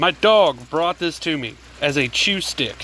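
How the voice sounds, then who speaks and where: A man speaks with lively intonation, and noticeable background noise runs underneath. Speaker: DIY maker / outdoors channel host. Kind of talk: casual tutorial. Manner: animated.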